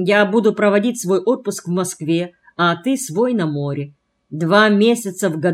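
Quiet surroundings behind a natural reading voice

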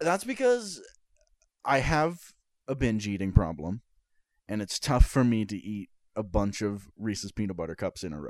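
The speaker has lively intonation, a moderate pace, long, frequent pauses and big swings in loudness. The recording is very clean with a silent background, and the sound is dry and close with no echo. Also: man, fairly low pitch for a man. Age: 20s. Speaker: podcast co-host. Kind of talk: casual chat.

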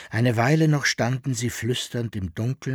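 Natural voice, reading a text aloud

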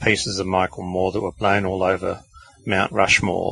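A man with an Australian accent at a moderate pace, with noticeable background noise. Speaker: podcast co-host, author. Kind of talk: casual chat.

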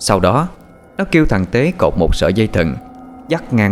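This clip features a natural reading voice.

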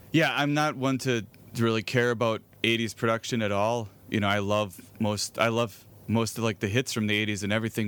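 This is a man with an unremarkable speaking voice, medium in pitch. He keeps a moderate pace and fairly even intonation. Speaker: podcast host. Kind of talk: casual chat.

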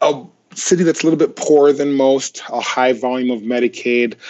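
This is a man with a normal speaking voice. He moves at a moderate pace with ordinary pitch variation. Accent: American. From Nigeria, then Minnesota. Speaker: physician and health informatics executive. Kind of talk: interview.

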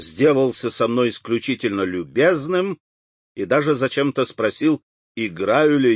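The background stays quiet. An unforced reading voice moves with lively intonation.

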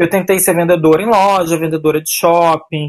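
A woman has an unremarkable speaking voice with fairly low pitch. She talks at a moderate pace. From Brazil, São Paulo. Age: 30s. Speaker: political candidate, activist. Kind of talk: interview.

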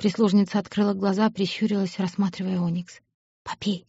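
A natural voice reads aloud, and the background stays quiet.

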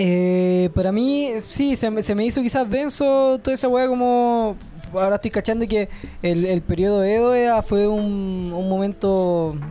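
In a Chilean accent, a woman speaks at a fairly slow pace with a dark, mellow tone, medium pitch, ordinary pitch variation and very even loudness. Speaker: podcast host. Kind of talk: casual chat.

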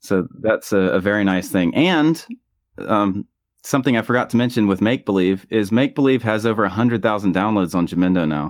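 A man with a normal speaking voice talks at a fairly low pitch and a fairly quick pace. His loudness stays very even, with ordinary pitch variation. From US South. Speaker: musician. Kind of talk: casual interview. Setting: video call from home bedroom studio.

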